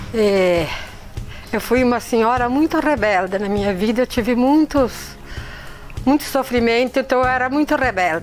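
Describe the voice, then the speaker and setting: A woman with a high-pitched voice speaks at a moderate pace with ordinary pitch variation, leaving long, frequent pauses over noticeable background noise. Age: 70s. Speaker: church member. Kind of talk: testimony.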